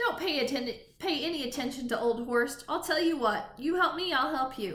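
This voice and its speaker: Putting on a character voice that is gruff and wheezy, a woman speaks high with lively intonation at a moderate pace. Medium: read story.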